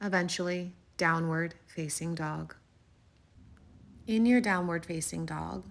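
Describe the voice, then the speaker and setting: A calm tone at a fairly slow pace, in a very clean recording with a silent background. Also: woman. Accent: American. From California. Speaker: yoga instructor. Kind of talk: guided yoga class instruction. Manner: soft-spoken, calm.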